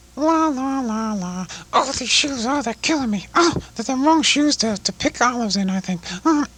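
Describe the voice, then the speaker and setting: A put-on character voice runs at a moderate pace with a fairly high pitch. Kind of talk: comic melodrama. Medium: comedy sketch.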